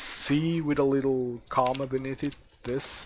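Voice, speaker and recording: There is noticeable background noise as a man speaks with a Portuguese accent at a fairly high pitch. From Portugal. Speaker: game streamer. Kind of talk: live gameplay commentary. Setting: live stream.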